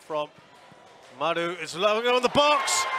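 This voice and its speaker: A man's voice makes very wide pitch swings over noticeable background noise. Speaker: football match commentator. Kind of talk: live sports commentary. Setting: stadium commentary. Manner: builds tension then erupts on goals.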